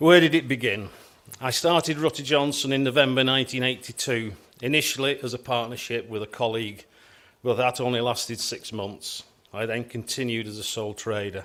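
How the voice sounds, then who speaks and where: In a Lancashire accent, the speaker talks at a fairly quick pace with ordinary pitch variation. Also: man, medium pitch for a man. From northern England, Wigan, Lancashire. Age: 60s. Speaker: structural engineer, business owner. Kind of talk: conference keynote address. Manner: formal.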